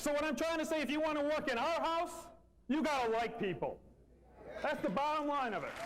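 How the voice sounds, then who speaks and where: A man with an extremely high pitch for a man and ordinary pitch variation speaks at a fairly quick pace with very even loudness and long, frequent pauses, with audible room echo and noticeable background noise. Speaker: company manager. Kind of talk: motivational speech. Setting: meeting room with audience. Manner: fast; animated.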